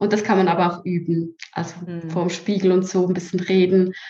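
A woman with a Swiss German accent speaks in a somewhat breathy voice. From Switzerland. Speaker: social media strategist. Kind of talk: interview.

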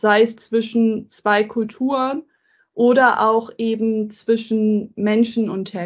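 Monotone, flat intonation from a woman at a fairly high pitch. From Germany. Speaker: tech entrepreneur and diversity advocate. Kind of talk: interview conversation. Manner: frequent filler hesitations.

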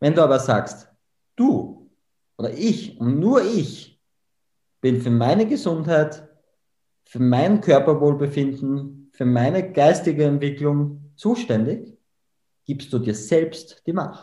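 With an Austrian accent and a dark, mellow tone, the somewhat breathy voice moves at a very slow pace, with long, frequent pauses and audible room echo. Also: man, fairly high pitch for a man, lively intonation. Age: 20s. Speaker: memory trainer. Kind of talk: podcast interview.

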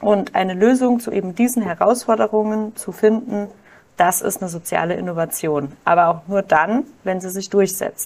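This woman has a plain, everyday voice, with medium pitch, ordinary pitch variation and a moderate pace. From Germany, Kaiserslautern (Palatinate). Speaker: doctoral researcher and social enterprise founder. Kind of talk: podcast interview.

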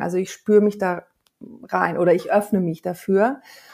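Speaking at a moderate pace, a woman with a medium pitch and fairly even intonation has a normal speaking voice. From Hamburg, northern Germany. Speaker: singer and voice coach. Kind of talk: interview.

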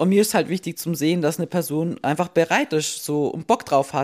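A woman's fairly low voice at a moderate pace, on a very clean recording with a silent background. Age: 20s. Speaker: fitness podcast host. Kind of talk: casual chat. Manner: hectic.

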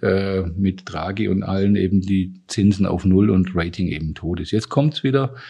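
With a Swabian accent, a man speaks at a fairly low pitch in a dark, mellow tone. His intonation is fairly even, and the background is quiet. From Swabia, southwest Germany. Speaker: university president and economics professor. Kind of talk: interview conversation.

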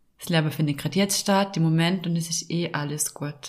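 A woman at a fairly quick pace with ordinary pitch variation, on a very clean recording with a silent background. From Austria, Vorarlberg. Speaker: podcast host and life coach. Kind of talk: casual chat.

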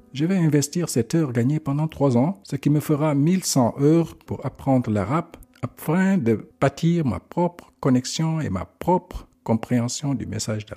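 A man at a fairly high pitch and fairly slow pace, with lively intonation, a dark, mellow tone and hardly any pauses, in a dry, close sound with no echo. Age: 50s. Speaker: religious podcaster. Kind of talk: religious reflection monologue.

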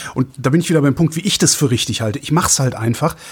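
This voice belongs to a man. It has a somewhat breathy quality. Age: 50s. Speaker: radio host. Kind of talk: casual chat.

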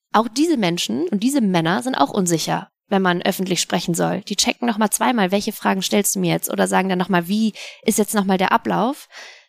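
A woman with an ordinary speaking voice at a medium pitch, lively intonation and a fairly quick pace, in a very clean, dry, close recording with a silent background and no echo. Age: 30s. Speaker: sports presenter. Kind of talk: casual interview.

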